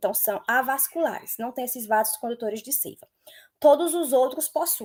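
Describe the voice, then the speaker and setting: This is a woman speaking. Her pitch is high. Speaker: biology teacher. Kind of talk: lecture.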